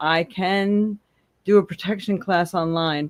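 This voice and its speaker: A woman speaks at medium pitch with ordinary pitch variation. It is an ordinary speaking voice. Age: 60s. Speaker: psychic tarot reader. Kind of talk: live stream casual talk. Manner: casual, chatty with fillers.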